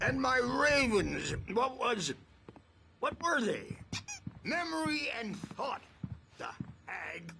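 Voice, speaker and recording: A man uses a put-on character voice with an extremely high pitch. He talks at a very slow pace with long, frequent pauses. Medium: video game. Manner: rambling.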